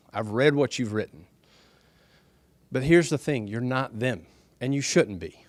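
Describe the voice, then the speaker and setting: A man with a Southern US accent, ordinary pitch variation, on a very clean recording with a silent background. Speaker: speaker for a development project at a town hall. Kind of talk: public speech at a town hall meeting. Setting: town hall meeting with audience. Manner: soft-spoken, quiet talker.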